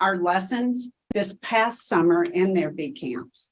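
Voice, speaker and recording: A woman talks in a Tennessee accent at a fairly slow pace. Her pitch is fairly low. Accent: Tennessee Southern. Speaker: education researcher. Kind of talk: conference Q&A presentation.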